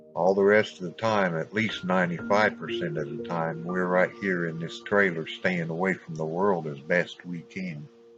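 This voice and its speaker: Music plays behind a man with a very deep, low pitch and fairly even intonation. He keeps a moderate pace with hardly any pauses. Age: 60s. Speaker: religious YouTuber. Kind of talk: farewell video monologue. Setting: at home in a trailer.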